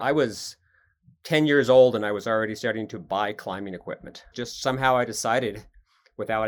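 A man has a normal speaking voice with an American accent and a medium pitch. His pitch varies in an ordinary way, but his loudness swings widely. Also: very clean recording, silent background. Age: 60s. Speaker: rock climber. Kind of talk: interview.

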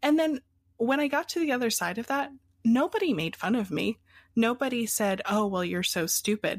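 A woman with an American accent talks at a moderate pace and fairly high pitch, making very wide pitch swings. The sound is dry and close with no echo. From Pennsylvania, US. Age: 20s. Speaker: coffee business founder. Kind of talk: interview.

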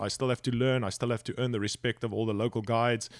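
A man at medium pitch with a South African accent, sounding dry and close with no echo. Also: very clean recording, silent background. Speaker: fishing guide and filmmaker. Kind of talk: casual interview chat. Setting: podcast interview. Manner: animated, excitable.

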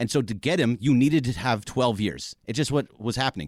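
A man's medium-pitched voice with vocal fry and lively intonation, at a fairly quick pace, in a very clean, dry, close recording with a silent background and no echo. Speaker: sports radio co-host. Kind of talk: casual chat.

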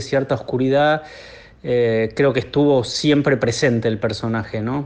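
His intonation is fairly even. The man keeps a moderate pace. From Buenos Aires, Argentina. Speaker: film director. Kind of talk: interview. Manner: halting, many repetitions.

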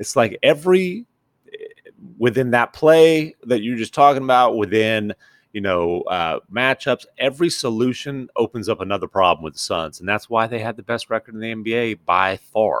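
An unremarkable speaking voice from a man at a medium pitch, with lively intonation, a moderate pace and big swings in loudness, in a dry, close sound with no echo. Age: 40s. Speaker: NBA reporter. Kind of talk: casual chat. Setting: on location.

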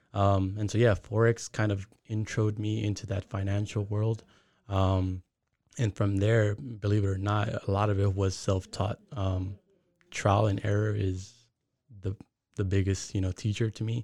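In a very clean recording with a silent background, a man speaks with a dark, mellow tone, a fairly low pitch, somewhat breathy delivery and monotone, flat intonation. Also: moderate pace. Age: 20s. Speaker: forex and crypto trader. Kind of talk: casual interview.

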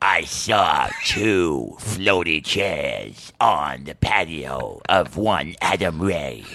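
A man uses a put-on character voice, raspy and sinister in tone. His very deep, low pitch moves at a very slow pace. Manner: exaggerated, sinister.

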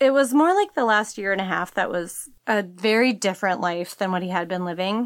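With a plain, everyday voice, a woman speaks fairly quickly at a medium pitch on a very clean recording with a silent background. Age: 40s. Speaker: podcast guest sharing a personal secret. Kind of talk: personal testimony.

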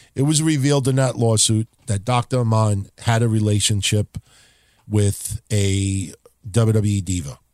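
A man talks at a fairly slow pace in a fairly low pitch with ordinary pitch variation, in dry, close sound with no echo. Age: 40s. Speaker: wrestling podcast host. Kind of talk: casual chat. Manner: animated.

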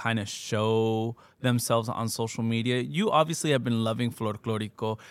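On a very clean recording with a silent background, a man with a Californian accent speaks at a moderate pace. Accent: Californian American English. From Southern California. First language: Spanish. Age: 30s. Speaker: podcast host. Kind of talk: casual interview. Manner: laughs often.

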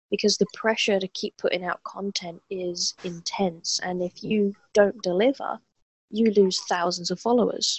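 Somewhat breathy, a woman speaks at a fairly slow pace, her medium pitch carried in fairly even intonation. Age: 30s. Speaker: former gaming addict. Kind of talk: interview.

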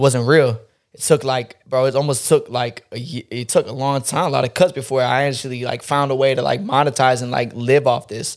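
A man with a plain, everyday voice and medium pitch speaks at a moderate pace with hardly any pauses, fairly even intonation and big swings in loudness. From North Carolina (Fort Bragg area), US. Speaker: barber and internet personality. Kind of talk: casual chat.

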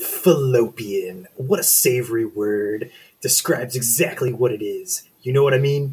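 This is a put-on character voice. It sounds gravelly. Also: man, medium pitch for a man, moderate pace. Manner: playful, leering.

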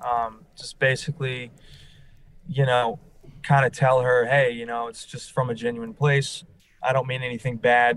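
A man speaks at a moderate pace and medium pitch with an American accent, in an unremarkable speaking voice. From New Orleans, US South. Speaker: reality TV contestant, salesperson. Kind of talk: interview.

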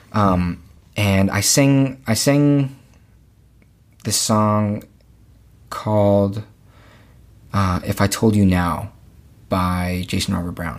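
A man with an American accent, fairly low-pitched, at a very slow pace with long, frequent pauses and ordinary pitch variation, in a very clean recording with a silent background. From Los Angeles area, California. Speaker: musical theatre actor. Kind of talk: casual interview chat.

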